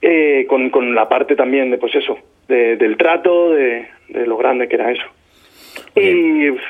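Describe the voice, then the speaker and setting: A man talks at a fairly slow pace, with long, frequent pauses. His pitch varies in an ordinary way. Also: fairly high pitch for a man. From Spain, Albacete. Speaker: singer-songwriter. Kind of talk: interview. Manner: halting, many repetitions.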